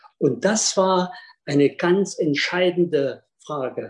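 A man speaks in a high pitch. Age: 50s. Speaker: speed skating coach. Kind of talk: storytelling in online salon.

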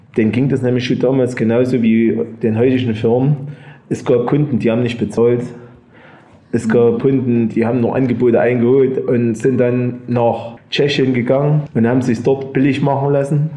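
At a moderate pace, a man of medium pitch speaks with monotone, flat intonation and very even loudness. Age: 50s. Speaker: engraving master, business owner. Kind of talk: storytelling in a group talk.

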